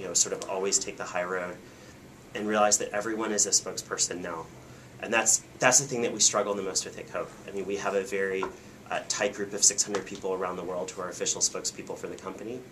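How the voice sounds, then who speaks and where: Very fast and with fairly even intonation, a man talks at a fairly low pitch. Background noise is noticeable. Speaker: corporate PR professional. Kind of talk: talk to a small audience. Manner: many fillers (um).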